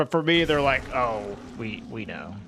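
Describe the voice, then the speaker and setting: A man speaks in a bright, sharp, animated tone. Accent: slight Southern US. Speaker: video game streamer. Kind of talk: live gaming stream chat.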